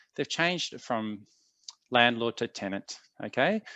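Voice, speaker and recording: Pitch variation is ordinary, delivered in an Australian accent. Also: man. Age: 40s. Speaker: tenancy legal adviser. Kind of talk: presentation. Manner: hesitant, many fillers.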